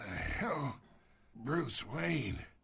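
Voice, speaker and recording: A man puts on a raspy character voice at a medium pitch, with very wide pitch swings. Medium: video game. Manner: sly, taunting.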